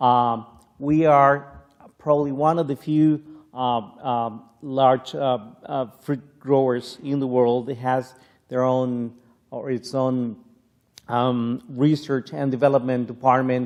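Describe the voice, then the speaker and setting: In a Spanish accent, a man with a medium-pitched voice talks at a very slow pace with monotone, flat intonation. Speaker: plant scientist. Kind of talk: keynote lecture. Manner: halting, many fillers.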